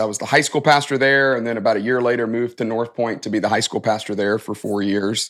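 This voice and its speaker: An American accent with ordinary pitch variation, on a very clean recording with a silent background. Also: man. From US South, Alabama (Tuscaloosa). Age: 40s. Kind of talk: interview.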